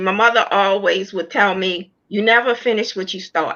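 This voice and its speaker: With an unremarkable speaking voice, a woman speaks at a fairly slow pace using lively intonation. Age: 60s. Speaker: author sharing personal testimony. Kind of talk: testimony.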